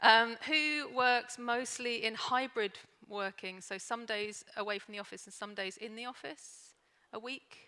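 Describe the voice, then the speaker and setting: Her bright, sharp tone sits at a fairly high pitch, with fairly even intonation. The woman speaks at a fairly slow pace with big swings in loudness. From London, England. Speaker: organisational consultant, conference speaker. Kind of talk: conference talk. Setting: stage with audience.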